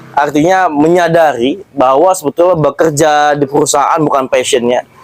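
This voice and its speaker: A man talks at a moderate pace with fairly even intonation and a fairly high pitch. Noticeable background noise can be heard. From Jakarta outskirts, Betawi. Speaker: interview host. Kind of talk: interview. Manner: casual, conversational.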